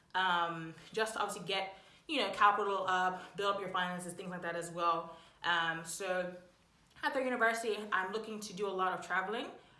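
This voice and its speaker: Amid audible room echo, a woman of medium pitch talks at a fairly quick pace with fairly even intonation and big swings in loudness. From Bermuda. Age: 20s. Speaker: YouTuber, university student. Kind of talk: casual vlog chat.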